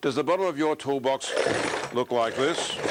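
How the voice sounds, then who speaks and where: His pitch sits fairly high for a man. Behind his words there is noticeable background noise. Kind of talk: TV infomercial presenter read.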